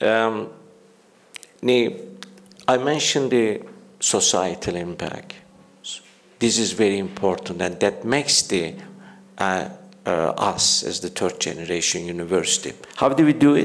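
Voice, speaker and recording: A man's fairly low voice with a Turkish accent, fairly slow with long, frequent pauses and lively intonation, in audible room echo. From Turkey. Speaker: university leader. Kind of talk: conference speech. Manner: halting, many fillers.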